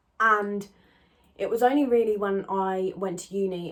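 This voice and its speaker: A woman with an English accent. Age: 20s. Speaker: YouTuber. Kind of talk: casual chat.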